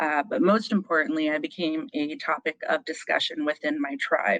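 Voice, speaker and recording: A woman with an American accent, a normal speaking voice, fairly low pitch and a fairly slow pace, in a dry, close sound with no echo. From Meskwaki tribe, Iowa, US. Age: 30s. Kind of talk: live personal storytelling on stage.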